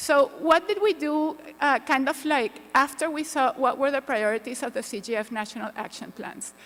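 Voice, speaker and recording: With lively intonation and hardly any pauses, a woman talks at a moderate pace in a high pitch. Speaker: panel moderator. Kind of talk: conference presentation. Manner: soft-spoken.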